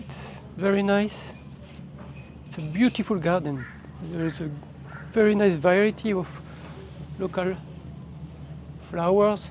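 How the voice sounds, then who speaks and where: The pace here is fairly slow. The speaker has a French accent. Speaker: travel vlogger. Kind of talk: walking tour vlog narration. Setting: outdoors, walking with handheld camera. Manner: casual, slightly halting.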